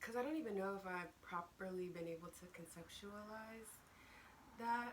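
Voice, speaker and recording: A woman of medium pitch at a moderate pace, with ordinary pitch variation and audible room echo. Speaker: video blogger. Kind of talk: casual chat. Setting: at home, morning.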